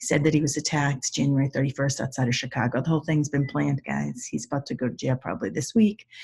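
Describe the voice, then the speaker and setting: A woman's very deep, low voice at a very fast pace, with vocal fry, ordinary pitch variation and hardly any pauses. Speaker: body language expert. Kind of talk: tutorial. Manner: intense.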